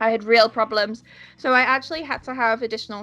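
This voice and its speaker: A woman with a Yorkshire accent, fairly high-pitched, at a moderate pace, with music in the background. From northern England, York. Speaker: pronunciation teacher. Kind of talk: podcast interview.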